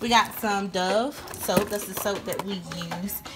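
At a fairly slow pace, a woman with a medium pitch speaks in fairly even intonation over clear background noise.

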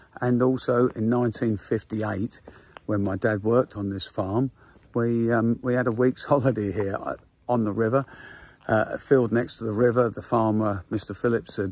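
At a moderate pace, a man speaks with monotone, flat intonation in a dry sound with no echo. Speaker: vlogger. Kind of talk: casual vlog chat. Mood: nostalgic, reminiscing. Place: open country. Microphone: phone near.

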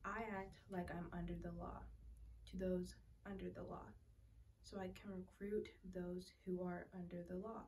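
A woman speaks fairly slowly, with light background noise behind her. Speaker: scripture reader. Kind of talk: scripture reading. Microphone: phone near.

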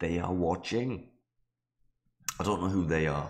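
At a moderate pace, a man speaks in a very deep, low pitch with ordinary pitch variation. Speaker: gaming video creator. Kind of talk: let's play commentary. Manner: casual, rambling.

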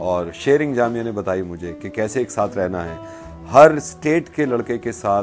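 Clear music plays behind a man who talks at a fairly slow pace with lively intonation. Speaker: radio jockey. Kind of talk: interview answer, casual talk about alma mater. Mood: warm, earnest. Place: home room. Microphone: lapel.

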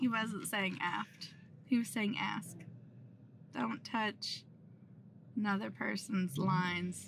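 Against noticeable background noise, a woman speaks very slowly with vocal fry and lively intonation, the sound dry with no echo. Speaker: sailing vlogger. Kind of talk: casual vlog chat. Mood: amused, chatty. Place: car. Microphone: phone near.

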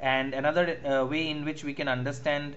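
The speech moves at a moderate pace in a monotone, flat intonation, with audible room echo. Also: man. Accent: Bengali. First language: Bengali. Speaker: university English lecturer. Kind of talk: online lecture. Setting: online class. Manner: halting, many fillers.

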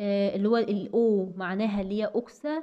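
Speaking with an Egyptian accent, a woman talks at a moderate pace and medium pitch, her tone dark and mellow, with ordinary pitch variation. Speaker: pharmacy lecturer. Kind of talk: tutorial.

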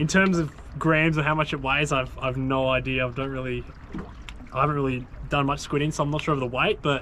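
There is light background noise as a man talks at a fairly quick pace. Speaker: fishing vlogger. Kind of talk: casual vlog chat. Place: waterside. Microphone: camera far.

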